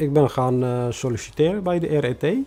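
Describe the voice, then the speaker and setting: Over music in the background, a man with a non-native accent speaks with lively intonation. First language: non-Dutch (speaking Dutch). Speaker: refugee newcomer, bus driver. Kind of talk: personal testimony interview. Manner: halting, many hesitations.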